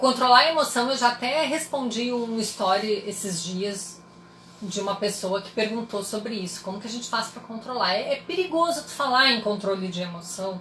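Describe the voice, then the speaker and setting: With noticeable background noise and audible room echo, a woman talks in an animated tone with lively intonation. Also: moderate pace. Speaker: psychologist. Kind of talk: live stream talk to audience. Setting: Instagram live.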